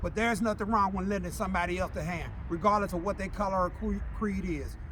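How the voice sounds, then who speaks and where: A man at a very fast pace, with audible room echo. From Alabama, then Cincinnati. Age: 60s. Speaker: small business owner. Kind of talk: interview testimony. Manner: halting, with repetitions.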